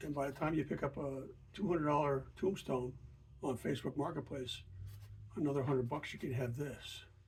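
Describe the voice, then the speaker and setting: A man talks fairly quickly at a fairly high pitch, somewhat breathy. His intonation is fairly even, broken by long, frequent pauses. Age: 70s. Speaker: welding hobbyist reviewer. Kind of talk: unboxing and product review. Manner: casual, halting with fillers.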